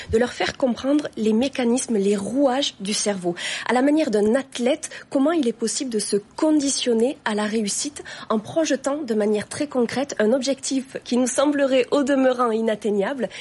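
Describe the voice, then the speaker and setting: A woman speaks with a slight Toulouse accent in a high pitch, at a moderate pace. Her pitch varies in an ordinary way, and there is noticeable background noise. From southwest France, Toulouse area. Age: 30s. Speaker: career consultant and author. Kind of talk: TV interview. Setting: TV studio. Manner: formal.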